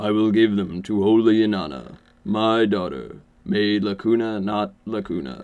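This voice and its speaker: Someone talks in a put-on character voice at a moderate pace. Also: man, fairly low pitch for a man. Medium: read story. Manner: formal, ritual repetition.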